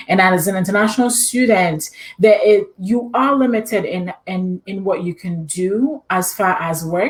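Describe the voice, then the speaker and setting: In a Ghanaian accent, a woman speaks at a fairly slow pace with hardly any pauses. Her pitch is medium, with ordinary variation. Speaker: immunology PhD and adjunct professor. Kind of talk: interview.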